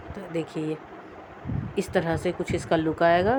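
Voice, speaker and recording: A woman speaks at a fairly slow pace with fairly low pitch, ordinary pitch variation, and noticeable background noise. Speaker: crochet tutorial maker. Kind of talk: tutorial.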